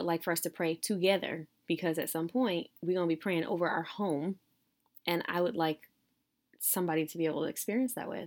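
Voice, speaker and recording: Speaking at a fairly quick pace, a woman with a normal speaking voice and fairly low pitch comes through in a very clean recording with a silent background. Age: 30s. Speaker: podcast co-host. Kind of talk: casual chat.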